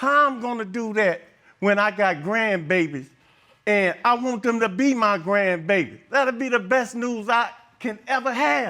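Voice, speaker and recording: A man's raised, projected voice at a high pitch, with lively intonation and a fairly slow pace. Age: 60s. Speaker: defendant on court show. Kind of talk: courtroom testimony. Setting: TV courtroom with audience.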